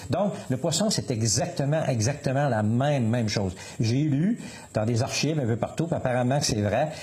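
Noticeable background noise fills the recording. The speech moves fairly quickly, with ordinary pitch variation. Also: man. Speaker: municipal councillor and fisherman. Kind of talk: radio interview. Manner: halting.

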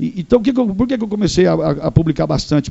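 Lively intonation marks this very fast speech, heard over noticeable background noise. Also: man. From northern Paraná, Brazil. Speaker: radio host and TV presenter. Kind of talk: casual interview chat.

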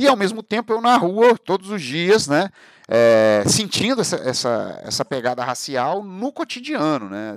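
Over a silent background in a very clean recording, a man's voice swings very widely in pitch, with a dry, close sound and no echo. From Brazil, Barra Mansa / Volta Redonda area, Rio de Janeiro state. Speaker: podcast host and historian. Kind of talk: monologue, casual talk.

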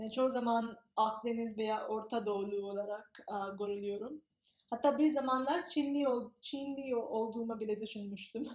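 Her pitch shifts in an ordinary way. The woman holds a moderate pace. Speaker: graduate student. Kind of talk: interview. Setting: in person. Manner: halting, many fillers.

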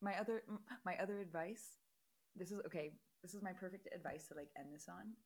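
Talking very fast yet with long, frequent pauses, a woman sounds animated and somewhat breathy at a medium pitch. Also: ordinary pitch variation. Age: 20s. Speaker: podcast host. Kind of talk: casual chat.

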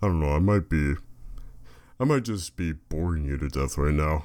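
On a very clean recording with a silent background, a man speaks at a moderate pace in a very deep, low pitch. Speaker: podcaster. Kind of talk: casual solo monologue. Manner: rambling, hesitant with fillers.

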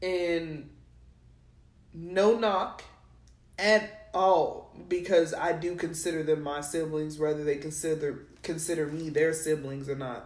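A woman with a fairly low pitch and fairly even intonation speaks at a fairly slow pace, with big swings in loudness. The room echo is audible. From New Mexico. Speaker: podcast co-host. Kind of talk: casual chat.

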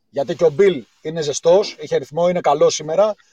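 At a fairly quick pace, a man talks in a dark, mellow tone with a high pitch. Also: dry, close sound with no echo. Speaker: caller. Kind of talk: casual chat. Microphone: voice sounds hollow, poor line at first.

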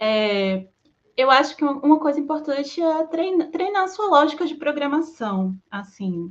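Her pitch is high, and it swings very widely. The woman speaks at a fairly slow pace. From Brazil, Salvador, Bahia. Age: 30s. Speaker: back-end developer. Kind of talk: panel discussion.

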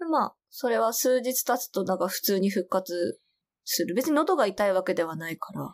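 A woman speaks at medium pitch and a moderate pace with lively intonation. The recording is very clean with a silent background. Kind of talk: casual chat.

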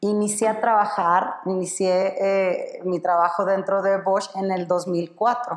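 A woman speaks at medium pitch and a very slow pace, monotone and flat, with hardly any pauses. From Sonora, northern Mexico. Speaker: corporate purchasing professional. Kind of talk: casual interview.

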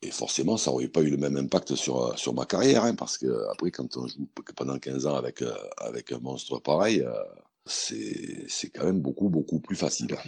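Dry and close with no echo, a man with a very deep, low pitch talks at a moderate pace with lively intonation. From southern France, Montélimar. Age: 50s. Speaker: pétanque player and TV pundit. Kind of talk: interview.

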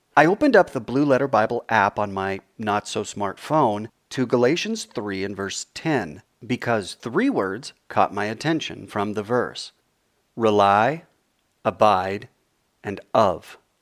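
A man's medium-pitched, plain, everyday voice at a fairly slow pace with ordinary pitch variation, a dry, close sound with no echo and a very clean recording with a silent background. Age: 40s. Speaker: author reading his own book. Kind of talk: reading aloud.

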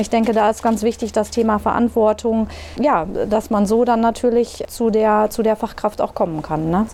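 A woman with a normal speaking voice and a fairly high pitch talks at a moderate pace. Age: 30s. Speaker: nursing manager. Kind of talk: interview.

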